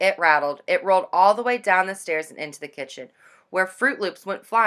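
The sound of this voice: The reading voice is unforced. Its intonation comes across as lively.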